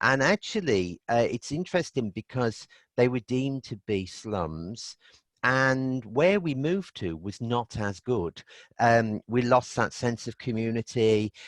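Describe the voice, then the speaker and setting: A man with a Birmingham accent talks at a medium pitch, fairly slowly, with lively intonation. The sound is dry and close with no echo, over a quiet background. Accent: Birmingham (Brummie) English. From Birmingham, England (Aston). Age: 60s. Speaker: energy healing therapist. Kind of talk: interview.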